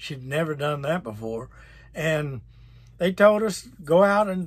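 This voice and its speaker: On a very clean recording with a silent background, a man with a fairly high pitch speaks at a fairly slow pace in a plain, everyday voice. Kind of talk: personal testimony to camera, storytelling. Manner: emotional, recounting hardship.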